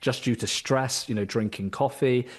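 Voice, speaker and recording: At a fairly quick pace, a man in a British accent speaks at a medium pitch with monotone, flat intonation against a quiet background. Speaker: executive health coach. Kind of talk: podcast interview.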